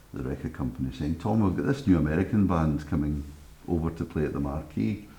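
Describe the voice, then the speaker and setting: At a fairly quick pace, the pitch varies in an ordinary way. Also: man. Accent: Glaswegian. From Scotland, Glasgow. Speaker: radio presenter. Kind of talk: interview storytelling.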